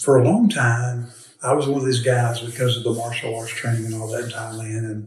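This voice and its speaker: Speaking at a moderate pace, a man uses a somewhat breathy, medium-pitched voice with fairly even intonation. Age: 60s. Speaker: financial advisor and military veteran. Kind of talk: interview. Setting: portable recorder on a table, not in a studio.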